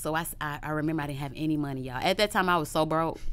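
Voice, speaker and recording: On a very clean recording with a silent background, a woman talks at a very fast pace in a bright, sharp, animated tone. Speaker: celebrity chef. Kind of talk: interview storytelling.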